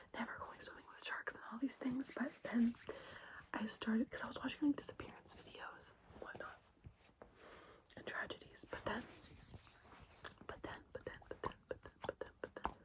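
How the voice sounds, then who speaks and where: A woman whispering at a moderate pace, with long, frequent pauses and big swings in loudness. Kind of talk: ASMR ramble, casual talk to camera. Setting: bedroom, with lotion and keyboard sounds. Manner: soft-spoken, intimate, repeating phrases.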